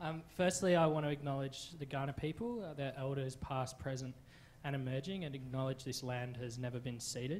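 A man speaks at a fairly quick pace with fairly even intonation and a somewhat breathy sound. Light background noise can be heard. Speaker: witness. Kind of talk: public presentation. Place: hall. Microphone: handheld.

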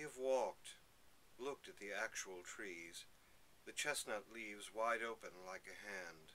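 Spoken at a fairly slow pace with lively intonation, the voice has a bright, sharp tone over light background noise. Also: man. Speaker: poetry reader. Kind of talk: poetry reading aloud. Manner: slow, measured, lyrical. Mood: calm, reflective. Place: home room. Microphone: webcam.

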